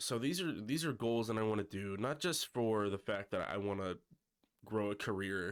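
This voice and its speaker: Speaking at a moderate pace with very even loudness, a man uses a fairly low pitch and ordinary pitch variation. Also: very clean recording, silent background. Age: 20s. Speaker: YouTuber. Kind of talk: casual personal vlog. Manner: hesitant, many fillers.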